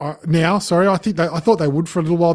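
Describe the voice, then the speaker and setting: Talking at a very fast pace, a man comes through. He has an Australian accent. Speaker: podcast co-host. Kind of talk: casual chat about sport.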